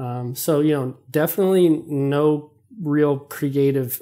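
A man with an American accent speaks in a fairly high voice, his dark, mellow tone carried on fairly even intonation. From Texas, Dallas (Oak Cliff). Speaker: visual artist. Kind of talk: casual interview.

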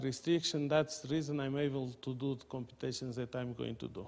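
Fairly high-pitched male speech at a moderate pace, with fairly even intonation. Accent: Portuguese. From Portugal. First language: Portuguese. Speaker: mathematics professor. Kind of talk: lecture. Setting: seminar room with audience. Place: meeting room.

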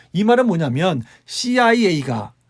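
A man's voice swings very widely in pitch. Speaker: political commentary YouTuber. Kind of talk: solo commentary monologue.

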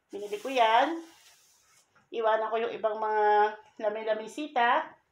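Fairly slow speech from a woman, room echo clearly audible. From Philippines. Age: 50s. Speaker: vlogger. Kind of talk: casual vlog. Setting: at home. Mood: hopeful, grateful. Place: home room. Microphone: phone near.

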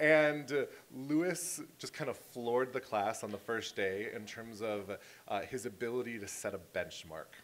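This man speaks at a moderate pace. His medium pitch shows ordinary pitch variation. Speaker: high school teacher. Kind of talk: award ceremony tribute speech. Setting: school auditorium with audience. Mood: warm, smiling, jovial. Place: hall. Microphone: podium.

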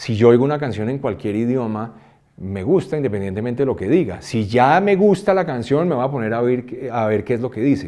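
A man with a dark, mellow tone talks fairly quickly with lively intonation against a quiet background. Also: medium pitch for a man. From Colombia, raised in New York and Switzerland. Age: 50s. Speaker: music producer and songwriter; interviewee. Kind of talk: interview. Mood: reflective, animated. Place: studio.

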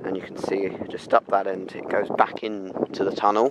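A man speaks at a moderate pace over loud background noise. The sound is dry, with no echo. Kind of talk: casual vlog commentary. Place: open country. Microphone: phone near.

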